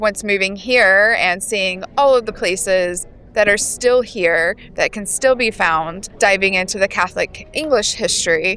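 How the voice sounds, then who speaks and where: Over background music, a woman with an American accent talks at a fairly slow pace with hardly any pauses, her medium pitch showing ordinary variation. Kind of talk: casual interview. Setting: at a festival.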